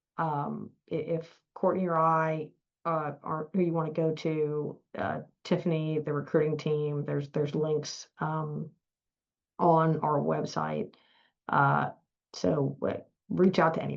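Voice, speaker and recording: In a strong Southern US accent, a woman speaks with a very deep, low pitch and monotone, flat intonation. Her pace is fairly slow, with long, frequent pauses. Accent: thick Southern US. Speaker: law firm partner. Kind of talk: webinar Q&A. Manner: halting, many fillers.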